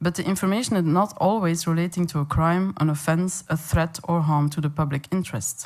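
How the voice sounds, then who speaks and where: In a very clean recording with a silent background, a woman with a Flemish accent speaks at a moderate pace in a fairly low pitch. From Flanders, Belgium. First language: Dutch (Flemish). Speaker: veterinarian and animal welfare campaigner. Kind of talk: conference presentation. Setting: conference meeting in Paris.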